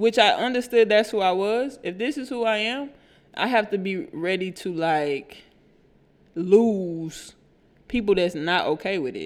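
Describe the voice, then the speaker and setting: A woman's medium-pitched voice with an American accent, animated in tone, lively in intonation, at a fairly slow pace. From Houston, Texas (Third Ward, Missouri City). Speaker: podcast co-host. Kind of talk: casual chat.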